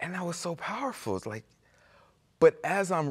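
Over a quiet background, a man speaks with an American accent. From Chicago. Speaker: nonprofit staff; guest. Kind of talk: casual chat. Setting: studio. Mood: warm, earnest storytelling. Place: studio. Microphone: lapel.

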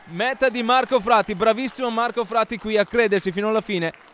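A man speaks in an excited tone. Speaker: rugby match commentator. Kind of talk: live rugby commentary. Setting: stadium press box, live match. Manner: fast, rapid-fire play-by-play; excited, rising intensity on tries.

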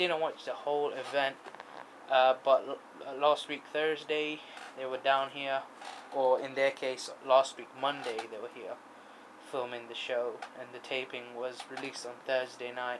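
Over light background noise, a man speaks in a monotone, flat intonation at a fairly slow pace, with long, frequent pauses. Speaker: vlogger. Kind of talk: casual vlog chat. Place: home room. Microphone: phone near.

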